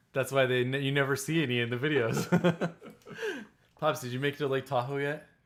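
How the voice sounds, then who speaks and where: A man speaks at a fairly quick pace in a normal speaking voice. His pitch sits fairly high, and his intonation stays fairly even. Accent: American. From California. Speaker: travel vlogger. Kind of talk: live stream chat.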